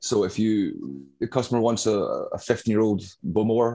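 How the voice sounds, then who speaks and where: A man with a Glaswegian accent speaks in a dark, mellow tone at a fairly low pitch. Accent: Glaswegian Scottish. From Glasgow, Scotland. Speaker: whiskey bar manager. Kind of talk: casual interview. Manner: hesitant, many fillers.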